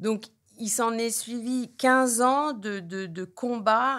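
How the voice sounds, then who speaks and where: This woman is heard on a very clean recording with a silent background. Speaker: addiction therapist. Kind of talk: interview. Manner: halting.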